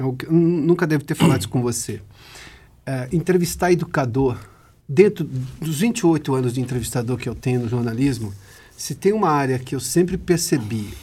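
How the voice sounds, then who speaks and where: Somewhat breathy and dark, mellow in tone, a man speaks at a medium pitch and a moderate pace with lively intonation. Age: 40s. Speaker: interviewer. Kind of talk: interview.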